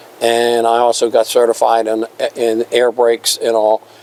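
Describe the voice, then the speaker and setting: A man talks at a medium pitch with noticeable noise in the background. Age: 70s. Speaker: railroad museum volunteer and retired firefighter. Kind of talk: casual interview. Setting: museum restoration shop.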